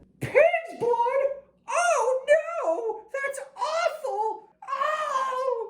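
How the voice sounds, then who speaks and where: A cartoonish character voice at an extremely high pitch and a very slow pace. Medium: puppet. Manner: upbeat, excitable, squeaky-clean.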